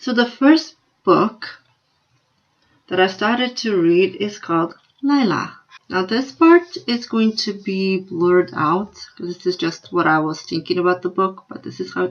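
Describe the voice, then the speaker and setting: A woman with a Slovenian accent talks at a fairly slow pace, her medium-pitched voice carrying lively intonation. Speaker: book vlogger. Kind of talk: casual vlog review.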